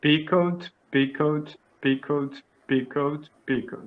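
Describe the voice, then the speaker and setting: A man with a Portuguese accent and fairly high pitch speaks at a very slow pace, keeping his intonation fairly even. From Brazil, São Paulo area. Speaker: English learner. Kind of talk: language lesson. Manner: halting, stammering.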